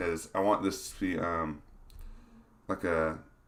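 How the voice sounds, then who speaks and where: Mumbling, a man speaks at a fairly slow pace. The recording is very clean, with a silent background. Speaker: game design streamer. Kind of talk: live stream talk. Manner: halting, many fillers.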